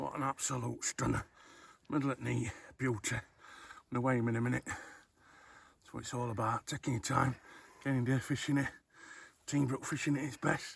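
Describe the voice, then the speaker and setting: Amid noticeable background noise, a man with a Yorkshire accent talks in a monotone, flat intonation with long, frequent pauses. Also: medium pitch for a man, moderate pace. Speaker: fishing vlogger. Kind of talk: casual vlog chat. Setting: outdoors at a fishing lake.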